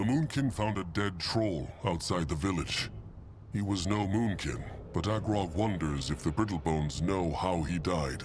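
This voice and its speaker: A man's put-on character voice at a very deep, low pitch over loud background noise. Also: moderate pace. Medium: video game. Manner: broken grammar, third person.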